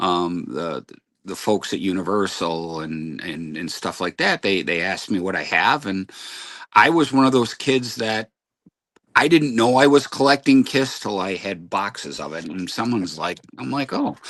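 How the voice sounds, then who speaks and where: With a Midwestern American accent, a man with a fairly low pitch speaks at a moderate pace, his loudness swinging widely and his pitch rising and falling over a very wide range. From Detroit, Michigan. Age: 60s. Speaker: music podcaster. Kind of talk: casual chat.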